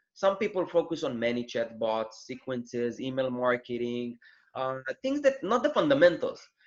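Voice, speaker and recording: A man with a non-native accent at a moderate pace. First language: not English. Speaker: Amazon seller, former student of host. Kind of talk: interview. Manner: halting.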